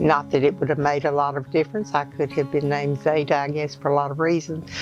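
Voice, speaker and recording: A woman speaks at a very fast pace in a very deep, low pitch with monotone, flat intonation. Music plays in the background. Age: 80s+. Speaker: great-grandmother. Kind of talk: interview answer.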